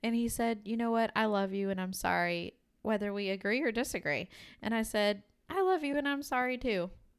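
In a very clean recording with a silent background, a woman with a plain, everyday voice talks at a fairly quick pace, her fairly high pitch rising and falling with lively intonation. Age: 30s. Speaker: podcast co-host and teacher. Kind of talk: casual chat.

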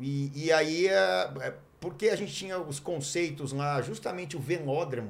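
Fairly high male voice at a moderate pace, with ordinary pitch variation and audible room echo. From Brazil, Mogi Mirim (São Paulo state). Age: 50s. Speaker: former pro cyclist and TV cycling commentator. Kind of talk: casual chat. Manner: hesitant, with many fillers.

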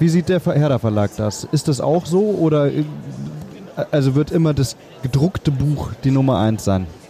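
Over noticeable background noise, a man with a fairly high pitch talks at a moderate pace, with long, frequent pauses and very even loudness. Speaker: podcast host, film producer. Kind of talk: interview. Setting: book fair.

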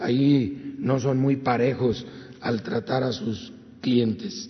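A man's medium-pitched voice at a very slow pace, with audible room echo and noticeable background noise. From Guanajuato, Mexico. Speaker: government official. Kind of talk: briefing report.

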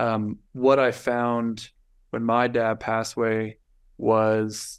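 Against a quiet background, a man talks with a medium pitch. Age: 20s. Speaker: entrepreneur. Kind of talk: casual chat.

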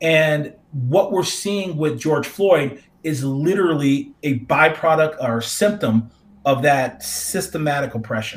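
An ordinary speaking voice, a man's in an American accent talks fairly slowly at a fairly high pitch with ordinary pitch variation. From North Carolina, US. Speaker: professor. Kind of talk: discussion.

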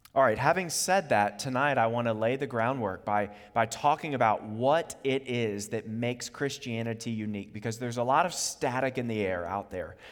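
This is a man with an unremarkable speaking voice. He moves at a moderate pace with ordinary pitch variation. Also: medium pitch for a man. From US, Virginia (Charlottesville). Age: 30s. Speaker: preacher. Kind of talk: sermon.

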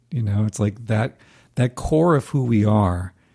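On a very clean recording with a silent background, a man speaks fairly slowly at a medium pitch, his tone dark, mellow and somewhat breathy, with ordinary pitch variation. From US South, North Carolina. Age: 50s. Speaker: singer-songwriter and music professor. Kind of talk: casual interview.

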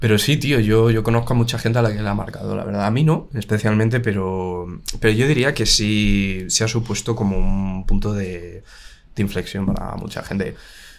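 At a moderate pace, a man speaks with a fairly low pitch and ordinary pitch variation, with audible room echo. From Spain, Madrid (born in Valladolid province). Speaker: musician. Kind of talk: casual chat.

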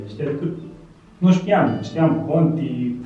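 There is audible room echo and noticeable background noise. A man talks at a fairly high pitch. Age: 30s. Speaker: mechanical engineer. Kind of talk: casual interview.

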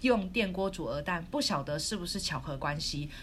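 A woman at medium pitch with lively intonation, speaking at a moderate pace amid audible room echo. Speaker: podcast co-host. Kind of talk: casual chat. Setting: recording remotely in quarantine room. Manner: loud; animated.

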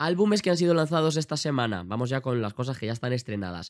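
A man speaks at a very fast pace in a medium pitch. The sound is dry and close, with no echo. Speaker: pop culture podcast host. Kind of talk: casual solo podcast chat. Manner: animated.

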